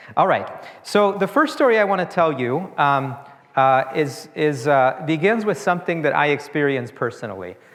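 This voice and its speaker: A man's fairly high voice with lively intonation and very even loudness, at a moderate pace, with audible room echo. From Uruguay. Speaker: author and immigration researcher. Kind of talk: lecture. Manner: conversational, casual.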